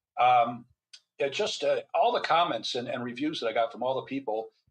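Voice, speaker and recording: A man speaks with a Midwestern American accent. His pace is very fast. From US Midwest, Michigan. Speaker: physician and author. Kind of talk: interview. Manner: halting.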